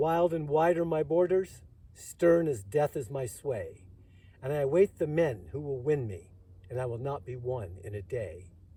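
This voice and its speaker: Speaking at a fairly slow pace, a man uses a somewhat breathy voice with a fairly high pitch. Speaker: Vietnam War veteran. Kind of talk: poetry reading.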